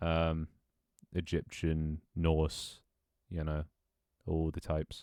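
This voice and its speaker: With a British accent, a man speaks in a very deep, low voice, recorded with a dry, close sound and no echo. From Britain. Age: 20s. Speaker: streamer. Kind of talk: casual chat; reading aloud.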